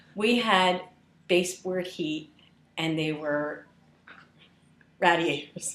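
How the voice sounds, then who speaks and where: A woman with a Philadelphia accent speaks at a very slow pace in a fairly low pitch, with fairly even intonation and long, frequent pauses. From Philadelphia suburbs, Huntingdon Valley. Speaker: interviewee. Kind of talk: casual interview chat.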